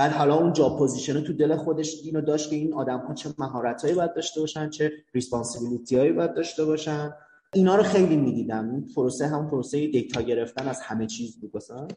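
This man's pitch is fairly high. He speaks very fast. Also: ordinary pitch variation. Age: 20s. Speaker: startup accelerator manager. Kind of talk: casual chat.

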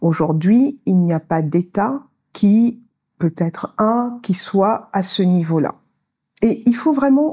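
A woman's somewhat breathy, medium-pitched voice with lively intonation. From Senegal, Saint-Louis. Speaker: finance specialist. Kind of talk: interview. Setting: recorded live in Dakar.

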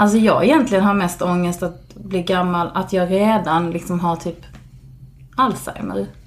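A woman with a fairly low pitch talks at a moderate pace, using ordinary pitch variation, as noticeable background noise plays behind her. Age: 40s. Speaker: podcast guest. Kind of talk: casual chat. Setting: recording at the host's home.

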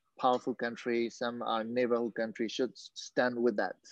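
In a Burmese accent, a man speaks at a medium pitch with monotone, flat intonation. The sound is dry and close, with no echo. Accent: Burmese accent, limited English. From Myanmar, Yangon. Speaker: mixed martial arts fighter. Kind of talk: interview. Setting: video call. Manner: halting.

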